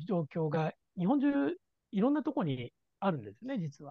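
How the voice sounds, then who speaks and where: The man's pitch swings very widely as he talks at a fairly quick pace. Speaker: head of a wilderness first aid organization, instructor and mountain guide. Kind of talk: casual chat.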